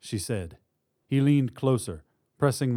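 The surroundings are quiet. Text is read aloud in a natural voice.

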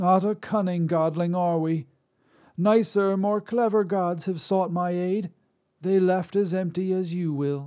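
Using a put-on character voice, a man speaks fairly slowly and high in pitch. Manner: dry, calm, scornful.

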